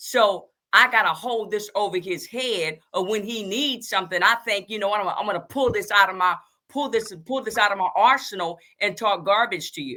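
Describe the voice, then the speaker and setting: Lively intonation and an animated, bright, sharp tone mark this woman's voice. She speaks at a moderate pace and a medium pitch. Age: 60s. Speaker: podcast host and therapist. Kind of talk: casual political chat.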